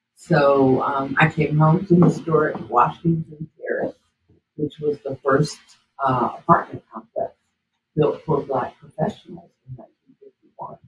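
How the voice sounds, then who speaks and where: With an American accent, a woman speaks at a very deep, low pitch, somewhat breathy and at a fairly slow pace, her intonation fairly even but her loudness swinging widely. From Raleigh and Durham, North Carolina. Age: 60s. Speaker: author and local historian. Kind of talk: interview, personal history.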